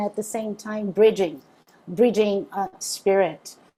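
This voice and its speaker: A woman with a Brazilian accent speaks at medium pitch in a dark, mellow tone. The recording is very clean, with a silent background. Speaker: interfaith minister. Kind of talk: spiritual talk to a group. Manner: halting, many fillers.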